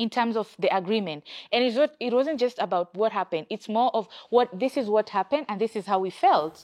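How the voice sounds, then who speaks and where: A woman speaks with an East African accent at a fairly high pitch and a fairly quick pace. Her intonation is lively, and the recording is very clean with a silent background. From Kenya. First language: Swahili. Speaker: gender and peacebuilding expert, former journalist. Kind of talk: interview.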